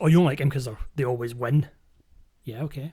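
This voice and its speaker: Somewhat breathy, a man with a Scottish accent speaks at a fairly high pitch with fairly even intonation. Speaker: podcast host. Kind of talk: casual chat.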